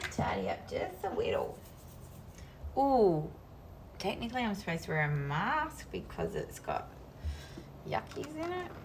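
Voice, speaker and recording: A woman speaks in a strong Australian accent at a moderate pace, with long, frequent pauses. Noticeable background noise and audible room echo surround her. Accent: strong Australian twang. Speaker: crafting streamer. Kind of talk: casual live-stream chat while crafting. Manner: animated.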